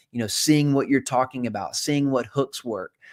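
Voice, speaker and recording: A medium pitch marks this man's voice. He is talking. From South Carolina. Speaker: investor and former college pastor. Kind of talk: live show monologue. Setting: live stream.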